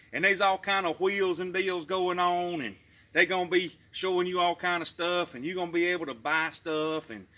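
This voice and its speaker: On a very clean recording with a silent background, a man with a Southern US accent talks at a very fast pace in a high, bright, sharp voice with ordinary pitch variation. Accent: Southern American, rural. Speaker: YouTube creator, promoting wife's Pampered Chef party. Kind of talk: casual talk to camera, product promotion. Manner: folksy, jokey, chatty.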